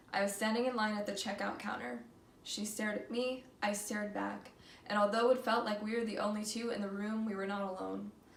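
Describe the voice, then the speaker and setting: Against noticeable background noise, a woman with a fairly high pitch talks with fairly even intonation. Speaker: student. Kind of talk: slam poetry performance. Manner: reading from paper, not memorized.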